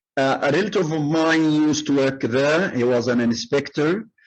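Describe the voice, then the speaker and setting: A man with an Arabic accent speaks at a fairly high pitch. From Egypt, Cairo. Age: 70s. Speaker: retired migrant, former English lecturer. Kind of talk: oral history interview. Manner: frequent hesitations.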